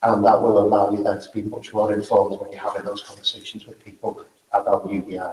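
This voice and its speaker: A man with a Liverpool accent talks at a fairly quick pace. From northern England, Liverpool. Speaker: event organizer and speaker. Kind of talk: closing remarks at a conference.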